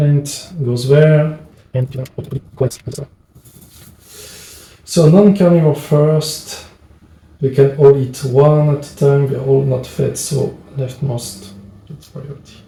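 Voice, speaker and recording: A man with a French accent speaks at a very slow pace in a fairly high pitch, his intonation fairly even, his loudness swinging widely, and his long pauses coming often. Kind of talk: board game playthrough narration. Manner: hesitant.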